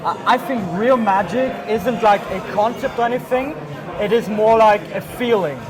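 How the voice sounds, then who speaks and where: With music in the background and audible room echo, a man speaks at a moderate pace in a high voice with ordinary pitch variation. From Austria. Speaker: magician and mentalist. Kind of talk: casual chat.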